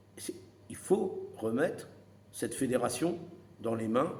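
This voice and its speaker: Here a man speaks at a fairly high pitch. Audible room echo surrounds his voice. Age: 60s. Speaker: retired boxing coach. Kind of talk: opinion monologue to camera. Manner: animated; halting.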